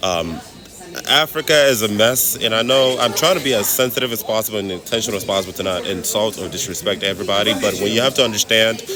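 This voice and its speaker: With an American accent, a man speaks at a very fast pace. Music plays in the background. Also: medium pitch for a man, ordinary pitch variation. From Nigeria. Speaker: travel vlogger. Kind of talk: casual vlog monologue. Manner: animated.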